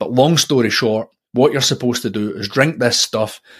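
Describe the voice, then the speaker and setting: A very fast man's voice at medium pitch with ordinary pitch variation, in a Scottish accent. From Scotland. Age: 40s. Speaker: podcast host. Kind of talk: solo monologue about personal development. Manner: reflective, personal, conversational.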